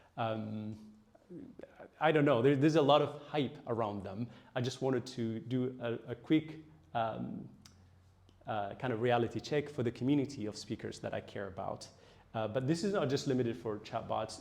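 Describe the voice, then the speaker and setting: In an Ethiopian accent, a man speaks at a moderate pace and medium pitch with ordinary pitch variation. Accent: Ethiopian (Tigrinya) English. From Ethiopia (Tigray region). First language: Tigrinya. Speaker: AI researcher. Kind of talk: lecture. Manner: hesitant, many fillers.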